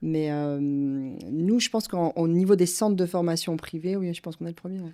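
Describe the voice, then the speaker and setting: A woman's fairly low, dark and mellow voice at a moderate pace, with ordinary pitch variation and big swings in loudness. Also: very clean recording, silent background. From France. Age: 50s. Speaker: company director. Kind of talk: interview. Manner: halting.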